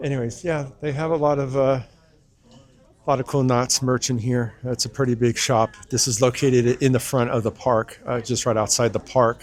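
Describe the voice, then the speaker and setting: A man at medium pitch, moderate pace and fairly even intonation. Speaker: theme park travel vlogger. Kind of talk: casual vlog narration. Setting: walking in theme park. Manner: hesitant, many filler words.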